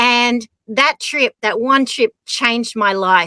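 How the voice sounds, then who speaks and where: With an Australian accent, a woman speaks slowly-ish at a fairly high pitch, her tone bright and sharp, with ordinary pitch variation and a dry, close sound with no echo. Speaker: skier and adventurer. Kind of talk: casual chat.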